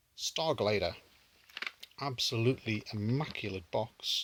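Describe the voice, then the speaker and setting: With a British accent, a man speaks at a fairly slow pace, his pitch medium with ordinary variation. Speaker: retro gaming YouTuber. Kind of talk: casual pickups video talk. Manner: hesitant, many fillers.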